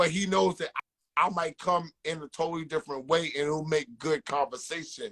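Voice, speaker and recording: This speaker talks at a fairly quick pace in a New York accent, with ordinary pitch variation. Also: man, fairly high pitch for a man. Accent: New York City. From South Jamaica Queens, New York. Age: 40s. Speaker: music manager and podcaster. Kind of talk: interview. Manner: repetitive filler, some stammering.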